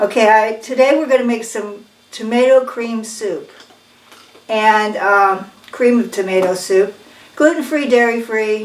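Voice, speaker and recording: A woman's fairly high voice at a fairly slow pace, ordinary pitch variation, with noticeable background noise and audible room echo. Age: 70s. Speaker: cooking channel host. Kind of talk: casual cooking tutorial. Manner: casual, conversational.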